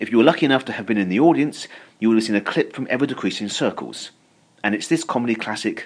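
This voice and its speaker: Very fast and with lively intonation, a man talks at a medium pitch. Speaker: comedy historian and interviewer. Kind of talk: live interview. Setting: stage with audience.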